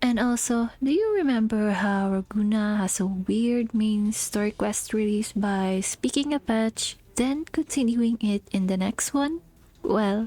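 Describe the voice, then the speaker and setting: On a very clean recording with a silent background, a woman with a non-native accent speaks at a fairly slow pace, somewhat breathy and fairly high-pitched. Her loudness is very even and her pitch varies in an ordinary way. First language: not English. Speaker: gaming content creator. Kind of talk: game story review narration. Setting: cheap home microphone. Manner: casual, sarcastic.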